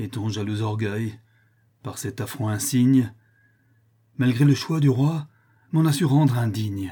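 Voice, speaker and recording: With long, frequent pauses, the voice moves at a very slow pace, somewhat breathy and dark, mellow in tone, with ordinary pitch variation. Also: man, medium pitch for a man. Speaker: voice actor reading theatre. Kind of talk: dramatic theatrical monologue, declaimed. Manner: impassioned, tragic, anguished; declamatory, rising and falling with outrage.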